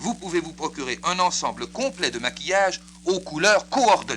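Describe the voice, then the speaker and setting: A man talks at a moderate pace. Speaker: radio announcer. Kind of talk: radio infomercial. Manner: paternalistic.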